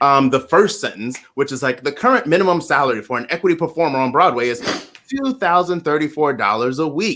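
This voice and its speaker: A fairly high-pitched man with an American accent and a bright, sharp tone, talking at a fairly quick pace with lively intonation. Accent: Baltimore accent, shows when excited. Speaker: podcast host. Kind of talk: interview discussion.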